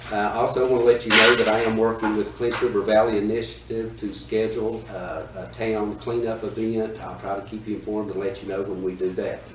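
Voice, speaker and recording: Monotone, flat delivery from a man with an American accent, fairly low pitch, fairly quick pace, audible room echo and noticeable background noise. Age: 60s. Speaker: town manager. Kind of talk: council meeting report.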